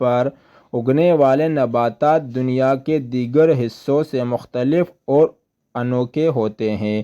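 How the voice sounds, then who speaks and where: Dark, mellow male voice, its pitch varying in an ordinary way. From Pakistan. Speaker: voice-over artist. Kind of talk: documentary narration.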